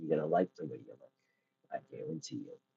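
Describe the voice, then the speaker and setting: A man puts on a raspy character voice. He speaks at a fairly quick pace. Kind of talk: salesman's reassuring sales pitch.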